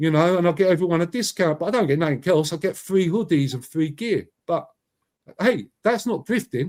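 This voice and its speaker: Loud and passionate, a speaker with a London accent talks at a fairly quick pace with ordinary pitch variation. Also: man, high pitch for a man. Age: 50s. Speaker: YouTuber and commentator. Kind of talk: interview.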